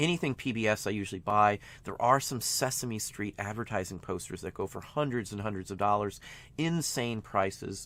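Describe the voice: Speaking at a moderate pace, a man with a fairly low pitch and a fairly bright tone shows ordinary pitch variation.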